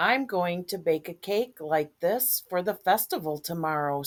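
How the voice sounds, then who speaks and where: The pace holds at a moderate rate. It is delivered in a put-on character voice. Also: woman, fairly low pitch for a woman. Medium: read story. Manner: gentle, warm.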